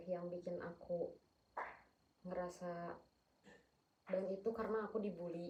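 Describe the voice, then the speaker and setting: A woman speaks at a fairly low pitch in a monotone, flat delivery, her dark, mellow tone somewhat breathy at a moderate pace. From Sumatra, Batak. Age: 20s. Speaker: counseling client. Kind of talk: role-play counseling session. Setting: at home. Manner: firm tone.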